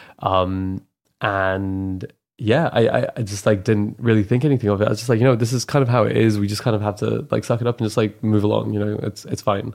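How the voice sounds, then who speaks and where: On a very clean recording with a silent background, a man with an ordinary speaking voice talks fairly quickly with a fairly low pitch and fairly even intonation. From moved around young; from an Islamic country, later Canada. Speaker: renewable energy engineer. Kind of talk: casual chat.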